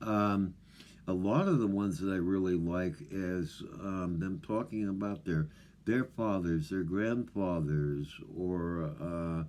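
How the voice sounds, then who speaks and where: A man talks at a very slow pace. His pitch is very deep and low, with ordinary pitch variation. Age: old. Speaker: off-grid living vlogger. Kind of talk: casual monologue to camera. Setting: remote wilderness home. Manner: mumbling; halting, many fillers.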